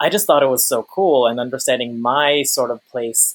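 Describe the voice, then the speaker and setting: A man with an unremarkable speaking voice and an American accent, medium pitch, ordinary pitch variation and a moderate pace. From US Northeast, Long Island. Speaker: climate activist. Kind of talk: interview conversation.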